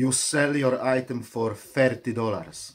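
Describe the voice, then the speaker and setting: Speaking very slowly in a Polish accent, a man holds a medium pitch with ordinary pitch variation. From Poland. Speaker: online reseller vlogger. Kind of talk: vlog commentary.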